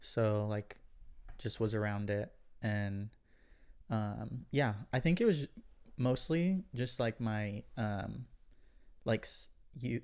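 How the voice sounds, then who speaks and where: A man with an Oklahoma accent speaks at a very slow pace, leaving long, frequent pauses. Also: medium pitch for a man, ordinary pitch variation. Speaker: podcast guest. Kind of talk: casual chat.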